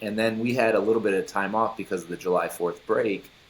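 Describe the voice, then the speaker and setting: A man speaks with an American accent. His pitch is fairly low and his intonation fairly even. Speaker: former baseball pitcher. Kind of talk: interview.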